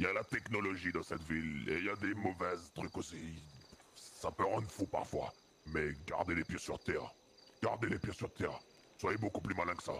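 A man speaks in a calm tone with a very deep, low pitch. His intonation stays fairly even. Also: moderate pace. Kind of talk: street slang mixed with sermonizing advice. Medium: game stream. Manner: calm, paternal, encouraging.

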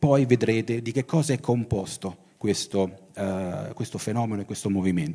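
Lively in intonation, a man speaks at a moderate pace with a dark, mellow tone. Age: 50s. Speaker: science fiction writer and publisher. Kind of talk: talk at a festival. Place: hall. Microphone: handheld.

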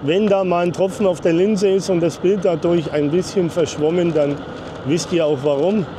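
In a dry sound with no echo but noticeable background noise, a man talks at a moderate pace. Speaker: travel vlogger driving. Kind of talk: casual vlog commentary. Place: street.

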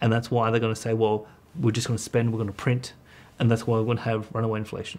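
Flat and monotone, a man's voice rattles along at a very fast pace. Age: 30s. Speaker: economist; guest. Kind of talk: casual chat. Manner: halting. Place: studio.

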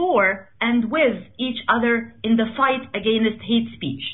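Against a quiet background, a woman speaks in a high pitch at a fairly slow pace. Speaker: radio show host. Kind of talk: host introduction. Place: studio.

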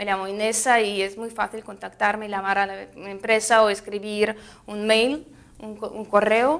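In a Russian accent, a woman talks at a fairly high pitch with fairly even intonation. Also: fairly slow pace. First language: Russian (speaking Spanish). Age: 20s. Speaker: fruit importer representative. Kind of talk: interview; interview answer. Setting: trade fair. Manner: halting, many fillers. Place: studio.

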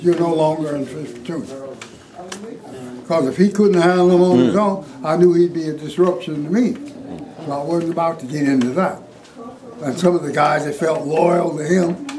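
Speaking at a moderate pace with an American accent, this voice shows ordinary pitch variation, takes long, frequent pauses, and has noticeable background noise behind it. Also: man. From Colorado, USA. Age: 80s+. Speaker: war veteran. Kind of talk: interview answer. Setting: rough audio quality near the end. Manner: storytelling. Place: classroom.

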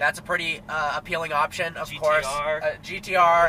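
Light background noise beneath a man's speech. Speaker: car reviewer. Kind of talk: review commentary. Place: car. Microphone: camera far.

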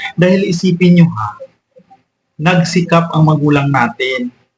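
A man's somewhat breathy voice. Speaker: vlogger. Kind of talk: angry rant, scolding lecture aimed at freeloading grown children. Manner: indignant, scolding, forceful and emphatic with repeated commands; rapid, exasperated, rhetorical tag questions like 'o di ba?'.

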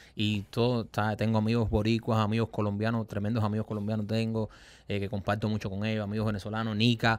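Talking at a very fast pace, a man with a fairly low pitch keeps a monotone, flat intonation in a dry sound with no echo. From Cuba. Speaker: comedian. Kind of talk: casual chat. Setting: studio. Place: studio. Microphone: studio mic.

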